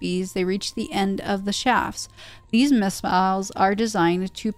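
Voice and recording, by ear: A passage is read out in a natural voice, its intonation staying fairly even.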